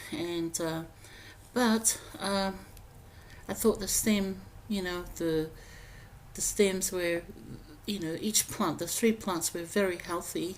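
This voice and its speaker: A woman at medium pitch speaks at a very slow pace, with fairly even intonation and long, frequent pauses. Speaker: home gardening vlogger. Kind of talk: voiceover narration. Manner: hesitant, many fillers.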